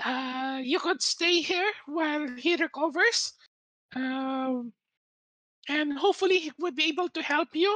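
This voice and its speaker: This put-on character voice runs high in pitch and moves at a fairly slow pace. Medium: actual play. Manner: polite, slightly hesitant.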